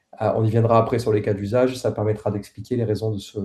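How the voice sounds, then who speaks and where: A man with a Toulouse accent speaks at medium pitch in a dark, mellow tone. His intonation stays fairly even. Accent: southern French (Toulouse). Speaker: head of a satellite company's team, presenter. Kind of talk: technical presentation. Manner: hesitant, many filler sounds.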